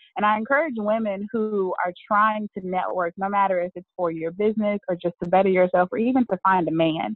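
A woman with an Alabama accent at medium pitch, fairly quick, with hardly any pauses and ordinary pitch variation. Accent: Southern US (Alabama). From US South, Birmingham, Alabama. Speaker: networker and event organizer. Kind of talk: interview.

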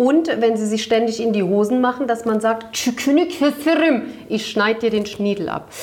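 A woman speaks at a very slow pace with hardly any pauses, at a fairly high pitch with ordinary pitch variation. Noticeable background noise can be heard. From Turkish-German background. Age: 40s. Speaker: podcast co-host. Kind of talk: casual chat. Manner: animated, laughing.

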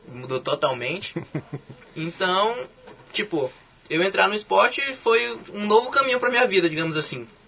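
Using a raised, projected voice, a man speaks high-pitched with very wide pitch swings at a moderate pace, pausing long and often amid noticeable background noise. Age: young. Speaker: olympic weightlifter. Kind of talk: casual interview.

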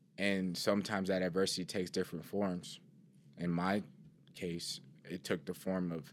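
The recording is very clean, with a silent background. A man speaks at a moderate pace in a very deep, low pitch, flat and monotone, with long, frequent pauses. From Cleveland, Ohio. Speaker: former student athlete. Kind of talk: personal testimony.

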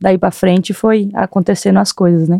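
Dark and mellow in tone, a woman's medium-pitched voice moves at a moderate pace with a dry, close sound with no echo. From Brazil, Rio Grande do Norte. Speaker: footballer. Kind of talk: interview.

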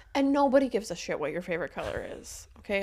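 An ordinary speaking voice at a fairly quick pace, with ordinary pitch variation, in a very clean recording with a silent background. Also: woman. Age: 30s. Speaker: podcast co-host, divorced mom. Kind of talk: casual chat.

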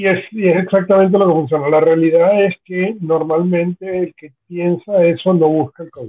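Speaking at a moderate pace with hardly any pauses, a man with a high pitch keeps his intonation fairly even while his loudness swings widely. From Venezuela. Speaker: podcast co-host. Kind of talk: casual chat.

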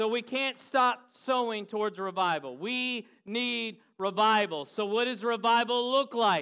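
A man speaks at a fairly slow pace in a high, animated voice with ordinary pitch variation and hardly any pauses. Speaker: preacher. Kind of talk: sermon. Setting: church with live congregation, also filmed. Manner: animated, urgent, rallying the congregation with call-and-response; exhorting, building intensity with repeated phrases.

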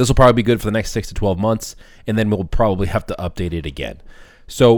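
Talking very fast with an American accent, a man comes through on a very clean recording with a silent background. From Boston, US. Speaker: podcast host, restaurant marketing agency owner. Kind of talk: solo podcast tutorial.

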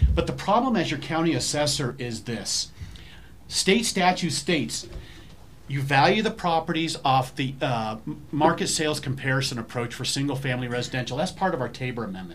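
Lively intonation and a fairly quick pace come through with audible room echo. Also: man, fairly high pitch for a man. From Colorado Springs. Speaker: county official and election candidate. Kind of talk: town hall panel discussion.

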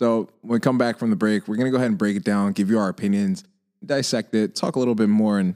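A man with a fairly low pitch talks at a very fast pace. The sound is dry and close with no echo, in a very clean recording with a silent background. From Caribbean household (French and Haitian). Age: young. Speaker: podcast host. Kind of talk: scripted narration; casual chat. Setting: recording at guest's home.

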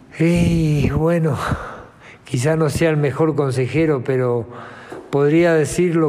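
Speaking at a very slow pace with ordinary pitch variation, a man is heard with audible room echo. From Uruguay, Montevideo. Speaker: retired footballer. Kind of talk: interview.

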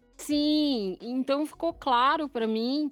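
A woman talks at a very slow pace with ordinary pitch variation. The recording is very clean, with a silent background. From São Paulo city, Brazil. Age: 40s. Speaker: translator and English teacher. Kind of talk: casual podcast interview.

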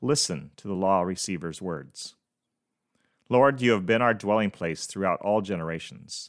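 A man speaks in a normal speaking voice, fairly low in pitch, at a moderate pace. His pitch varies in an ordinary way, and the sound is dry and close with no echo. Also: very clean recording, silent background. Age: 50s. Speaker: podcast host. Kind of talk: devotional monologue.

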